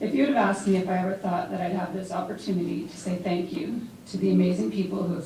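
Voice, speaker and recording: Over noticeable background noise, a woman talks at a very fast pace with a fairly low pitch and ordinary pitch variation. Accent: Canadian. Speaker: former university athlete. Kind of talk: award acceptance speech. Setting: live event before a large crowd.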